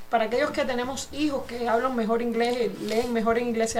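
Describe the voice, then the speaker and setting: A high-pitched woman at a moderate pace, with audible room echo and noticeable background noise. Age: 60s. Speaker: radio host and insurance agent. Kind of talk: insurance info segment; casual interview.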